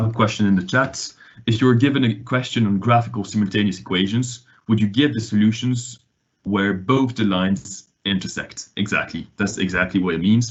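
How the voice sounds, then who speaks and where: The man's fairly low voice keeps a fairly even intonation. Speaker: online maths tutor. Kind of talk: online lesson. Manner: hesitant, many fillers.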